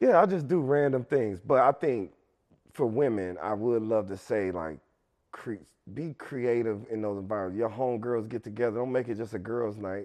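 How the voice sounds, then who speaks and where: A man with a normal speaking voice, medium pitch and moderate pace. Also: ordinary pitch variation. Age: 30s. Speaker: rapper and songwriter. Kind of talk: casual chat.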